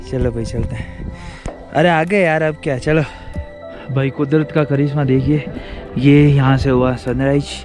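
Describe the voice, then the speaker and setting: Over clear music in the background, a man speaks at a fairly slow pace with fairly even intonation in a dry sound with no echo. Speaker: trekking vlogger. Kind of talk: casual vlog chat. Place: open country. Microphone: phone near.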